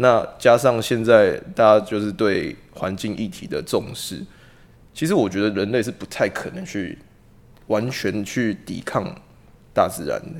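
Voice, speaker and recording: This man has a plain, everyday voice and a medium pitch. He talks at a fairly slow pace, with big swings in loudness. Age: 20s. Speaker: police officer. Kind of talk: casual discussion.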